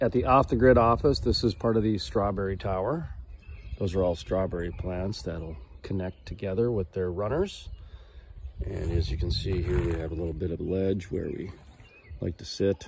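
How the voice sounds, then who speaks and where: A man's very deep, low voice with vocal fry at a moderate pace, dry with no echo, over noticeable background noise. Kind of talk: casual tour narration. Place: garden. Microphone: phone near.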